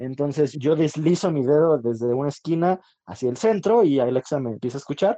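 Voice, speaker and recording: This man's voice sits fairly high, with a dark, mellow tone and ordinary pitch variation. The sound is dry and close, with no echo. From Mexico City (Iztapalapa). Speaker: podcast co-host. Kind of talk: casual chat.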